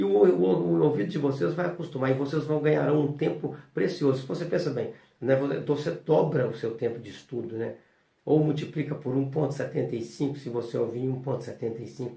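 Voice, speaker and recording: A man speaks at a fairly quick pace with a fairly high pitch and ordinary pitch variation. His dark, mellow tone carries vocal fry. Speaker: notary and law teacher. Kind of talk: lecture. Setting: recorded at home. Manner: casual, filler-heavy.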